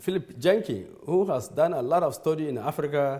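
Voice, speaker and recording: With a Nigerian accent, the speaker uses lively intonation and a dark, mellow tone, and audible room echo can be heard. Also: man. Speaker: church leader. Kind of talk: lecture. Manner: halting.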